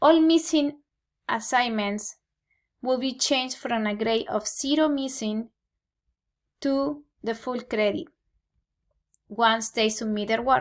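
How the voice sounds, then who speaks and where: Speaking very slowly with a Peruvian accent, a woman uses a high pitch and ordinary pitch variation, pausing long and often. The recording is very clean, with a silent background. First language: Spanish. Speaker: Spanish teacher. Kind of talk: scripted presentation to parents. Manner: formal.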